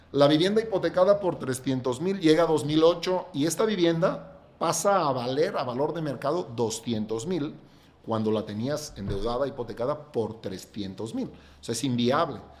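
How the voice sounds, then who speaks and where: This is an ordinary speaking voice at a moderate pace. The intonation is lively. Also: man, fairly high pitch for a man. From Catalonia, Spain. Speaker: real estate developer. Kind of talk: podcast interview.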